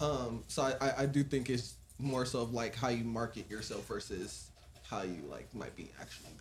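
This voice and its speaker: A man with an American accent talks at a moderate pace, his pitch varying in an ordinary way. Vocal fry runs through his voice. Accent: suburban American. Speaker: content creator guest. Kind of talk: casual conversation.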